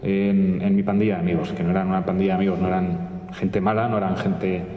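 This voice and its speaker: A man speaks with a Madrid accent and ordinary pitch variation, over noticeable background noise with audible room echo. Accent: Castilian Spanish (Madrid). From Spain, Madrid. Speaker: journalist. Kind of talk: testimony. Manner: halting, many repetitions and fillers.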